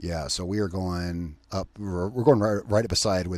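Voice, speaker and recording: At a fairly quick pace, a man speaks in a very deep, low voice with ordinary pitch variation. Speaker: gaming YouTuber. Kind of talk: let's play commentary. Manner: casual, rambling with fillers; loud over engine noise.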